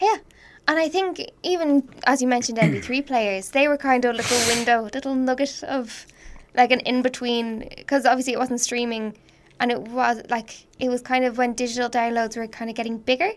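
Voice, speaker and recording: Against noticeable background noise, a woman with an Irish accent talks fairly quickly in a high pitch with ordinary pitch variation. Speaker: podcast co-host. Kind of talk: casual chat. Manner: joking, laughs often.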